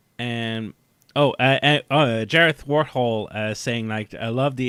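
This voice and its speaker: A man talks with a Quebec accent. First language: French. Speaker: podcast host. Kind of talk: casual chat. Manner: halting, many fillers.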